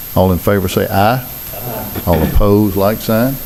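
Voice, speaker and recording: A man with a Mississippi accent, fairly low in pitch, over noticeable background noise. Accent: Southern US, Mississippi. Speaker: city mayor chairing board meeting. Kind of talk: public meeting proceedings.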